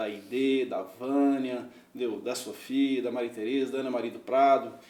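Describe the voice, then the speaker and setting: Noticeable background noise behind a man speaking in a medium pitch. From Minas Gerais, Brazil (Araxá). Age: 50s. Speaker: businessman and mayoral candidate. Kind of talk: interview.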